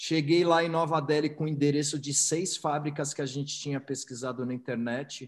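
With an unremarkable speaking voice, a man talks at a moderate pace with hardly any pauses, fairly even intonation and a fairly high pitch. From São Paulo, Brazil. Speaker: entrepreneur. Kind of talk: interview.

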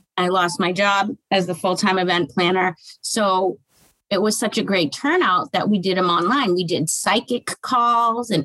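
A woman with a plain, everyday voice and an American accent speaks at a moderate pace, her medium pitch carried by lively intonation, in a dry, close sound with no echo. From Massachusetts, Boston area. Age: 40s. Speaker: author and dating coach. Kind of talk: casual interview.

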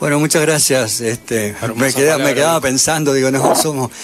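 A man with a Uruguayan accent, medium in pitch, fairly quick and fairly even in intonation, amid noticeable background noise. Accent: Uruguayan Rioplatense Spanish. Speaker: rock band musician. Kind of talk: radio interview.

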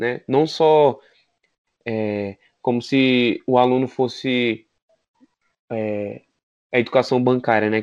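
The speaker is a man with a medium-pitched voice. His intonation stays fairly even. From Brazil, Federal District. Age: 20s. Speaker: podcast co-host, pedagogy student. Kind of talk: casual chat. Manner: halting.

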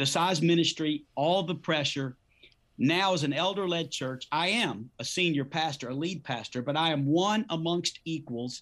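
Recorded very cleanly against a silent background, a man with an unremarkable speaking voice and a fairly high pitch talks at a moderate pace with ordinary pitch variation. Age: 50s. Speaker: pastor. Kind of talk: casual chat.

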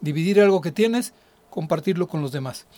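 High-pitched man's voice with ordinary pitch variation. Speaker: radio host and finance professor. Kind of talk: radio talk show on personal finance. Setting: radio studio.

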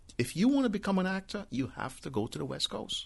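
With a Trinidadian accent, a man speaks at a fairly quick pace with very wide pitch swings and vocal fry. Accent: Trinidadian island. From Trinidad, later Brooklyn, New York. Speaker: real estate broker and rideshare driver. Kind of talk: casual chat.

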